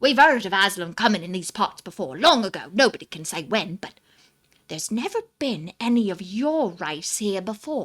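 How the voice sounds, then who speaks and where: A woman puts on a character voice at medium pitch. She keeps a moderate pace on a very clean recording with a silent background. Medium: read story. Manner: hearty, folksy.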